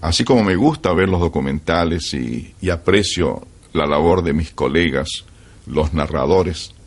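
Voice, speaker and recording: A man at a fairly slow pace, very deep and low in pitch, with vocal fry. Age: 70s. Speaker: veteran radio announcer. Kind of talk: interview.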